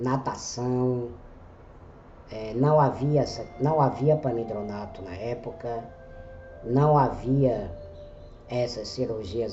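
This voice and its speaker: Music plays behind a man, and the room echo is audible. He talks very slowly at a medium pitch with ordinary variation. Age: 40s. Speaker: journalist and blogger. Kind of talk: scripted narration.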